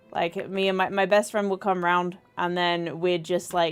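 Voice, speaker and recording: A woman's fairly low voice with an English accent. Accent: weird English accent, mistaken for Australian. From southern England. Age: 30s. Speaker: streamer. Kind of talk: casual gameplay chat. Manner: casual, repetitive stammering.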